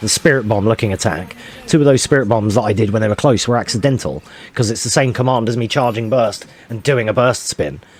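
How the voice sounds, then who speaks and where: Through noticeable background noise, a man's medium-pitched voice can be heard. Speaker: speedrunner. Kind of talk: gameplay commentary.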